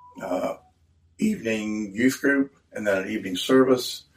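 A man with an American accent talks at a moderate pace and fairly low pitch. He has an ordinary speaking voice. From Cumberland, Maryland, Appalachian hills. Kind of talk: interview testimony. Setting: in a store.

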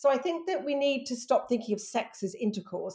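The voice has a dark, mellow tone. Its pitch swings very widely. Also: woman. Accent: British. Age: 50s. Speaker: author and sex expert. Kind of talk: interview.

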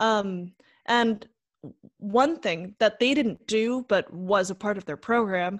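Speaking fairly slowly in a medium pitch with ordinary pitch variation, a woman has an unremarkable speaking voice. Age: 20s. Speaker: actor and composer with a hearing impairment. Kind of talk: casual chat.

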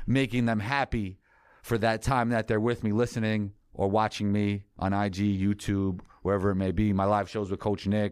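The man speaks with a New York accent at a moderate pace, his pitch fairly low. His intonation is monotone and flat, his loudness very even, and the recording very clean with a silent background. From New York City. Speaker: sports content creator and show host. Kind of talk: casual interview.

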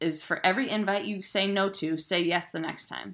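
In a very clean recording with a silent background, a woman with an American accent talks at medium pitch with ordinary pitch variation. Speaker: podcast host. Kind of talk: casual chat.

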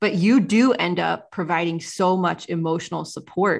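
A Midwestern American accent with ordinary pitch variation, over a quiet background. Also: woman. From small-town Ohio. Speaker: podcast host. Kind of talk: podcast interview.

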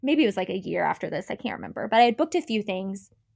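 A woman speaks with a Midwestern American accent. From US Midwest, southern Indiana small town. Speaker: actress. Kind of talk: casual chat. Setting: remote recording call.

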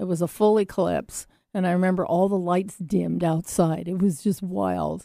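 This woman talks at a moderate pace, her fairly low pitch carrying a dark, mellow tone. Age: 60s. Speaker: radio show host. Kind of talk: casual chat. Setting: radio studio with guest on video call.

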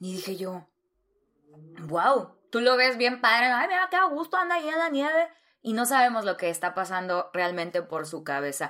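Bright and sharp in tone, a woman speaks at a moderate pace with a fairly high pitch. Her delivery is animated, with very wide pitch swings, on a very clean recording with a silent background. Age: 30s. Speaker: podcast host. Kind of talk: personal monologue.

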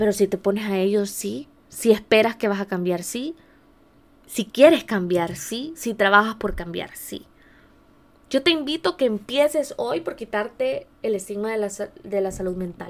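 In a plain, everyday voice, a woman speaks fairly slowly at a medium pitch with lively intonation, on a very clean recording with a silent background. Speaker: podcast host, life coach. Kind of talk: personal testimony monologue.

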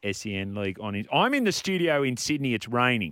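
A man speaks with an Australian accent. He talks at a fairly quick pace. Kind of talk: sports radio talk. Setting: radio studio.

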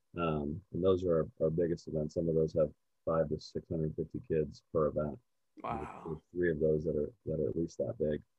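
In a Californian accent, a man speaks with a very deep, low pitch. His intonation stays fairly even. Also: moderate pace. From US West Coast, southern California. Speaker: golf organization founder. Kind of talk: interview.

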